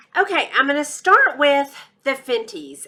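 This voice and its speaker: Projecting a raised voice, a woman with a Texas accent speaks at a moderate pace in a high pitch with a bright, sharp tone. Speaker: beauty YouTuber. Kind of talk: product review vlog. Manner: animated.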